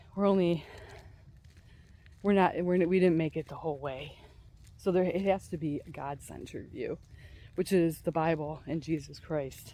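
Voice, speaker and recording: Long pauses come often in this speech, which otherwise keeps a moderate pace. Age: 60s. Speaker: mind-body therapist. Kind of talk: casual monologue vlog. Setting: outdoors on a walk. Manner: halting, hesitant.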